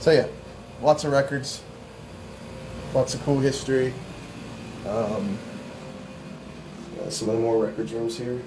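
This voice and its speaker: A man with an American accent speaks at a moderate pace, his pitch medium and its variation ordinary. Long, frequent pauses break up his speech, and the room echo is audible. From northern US. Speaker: paranormal investigator. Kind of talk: walking tour narration. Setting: indoors, old jail at night.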